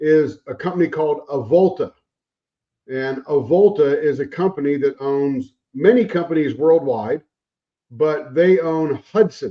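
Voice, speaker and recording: Speaking with an American accent, a man with an ordinary speaking voice and fairly high pitch goes at a fairly slow pace with ordinary pitch variation. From Arizona. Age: 60s. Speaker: navy veteran, account manager. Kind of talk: casual chat.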